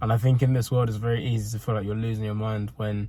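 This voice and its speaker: The speech moves at a very fast pace with monotone, flat intonation. Noticeable background noise is present. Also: man. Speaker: fitness vlogger and coach. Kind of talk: casual vlog monologue. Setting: in a car. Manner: halting.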